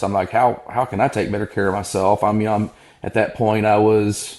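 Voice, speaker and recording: A normal speaking voice with an American accent moves along at a moderate pace. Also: man. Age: 40s. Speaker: physician. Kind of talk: interview conversation.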